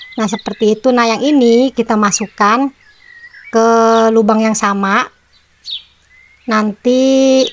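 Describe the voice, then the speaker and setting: A fairly high-pitched woman, very slow, with long, frequent pauses, very even loudness and fairly even intonation. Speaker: crafts channel host. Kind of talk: tutorial. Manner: casual, chatty.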